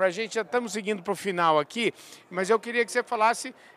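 A man's high voice, bright and sharp in tone, with ordinary pitch variation, on a very clean recording with a silent background. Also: dry, close sound with no echo. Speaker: agribusiness podcast host. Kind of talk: casual interview. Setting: trade fair stand.

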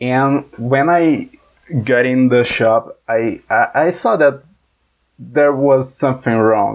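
A man speaks very slowly in a Brazilian accent at a medium pitch. His pitch varies in an ordinary way while his loudness stays very even. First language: Portuguese. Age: 20s. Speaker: engineering student. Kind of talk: casual chat.

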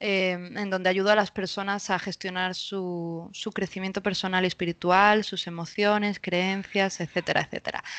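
In a quiet background, a woman with a Spanish accent talks at a moderate pace in a medium-pitched, monotone, flat voice, with hardly any pauses and a dry, close sound with no echo. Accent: Peninsular Spanish. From Spain. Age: 30s. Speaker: spiritual coach. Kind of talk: casual interview. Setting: remote recording.

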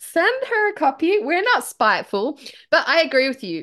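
Against a quiet background, a woman with an Australian accent speaks at a moderate pace in an animated tone, her pitch swinging very widely. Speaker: aspiring author and podcast host. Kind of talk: casual banter.

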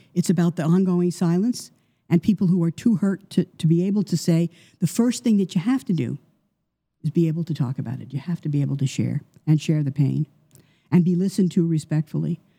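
With an American accent, a woman speaks at a fairly quick pace in a dark, mellow, somewhat breathy tone and a fairly low pitch. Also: ordinary pitch variation. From US Northeast, New York. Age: 70s. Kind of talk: interview.

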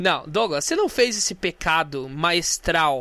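In a Brazilian accent, a man speaks in a bright, sharp, animated tone. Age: 20s. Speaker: podcast host. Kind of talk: casual solo monologue with music.

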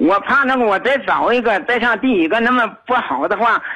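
Amid noticeable background noise, a man with an extremely high pitch speaks in a raised, projected voice at a moderate pace. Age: 60s. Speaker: retired caller to a radio advice show. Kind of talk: phone-in advice call. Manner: halting, many fillers.

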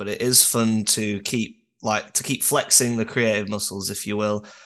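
The man talks at a moderate pace. He has a northern English accent. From northern England. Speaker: musician. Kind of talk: casual chat.

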